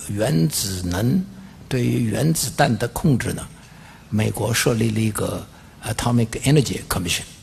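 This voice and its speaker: A man speaking fairly slowly, with very wide swings in pitch. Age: 80s+. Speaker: physicist, Nobel laureate. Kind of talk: academic lecture.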